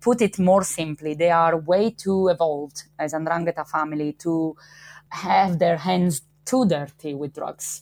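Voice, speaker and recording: A woman speaks at a fairly slow pace in an Italian accent, her pitch fairly low. The sound is dry and close with no echo, on a very clean recording with a silent background. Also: ordinary pitch variation. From Italy, Calabria (Gioia Tauro). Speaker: criminology professor. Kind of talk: interview.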